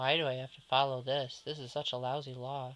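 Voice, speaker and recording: A man puts on a whiny character voice at medium pitch. His intonation is monotone and flat, at a fairly quick pace. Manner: whiny, complaining.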